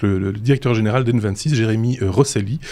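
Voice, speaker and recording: A man talks at medium pitch with ordinary pitch variation. Noticeable background noise is present. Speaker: podcast host. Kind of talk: show outro; casual tech chat. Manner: hesitant, many fillers and repetitions; self-described stammering.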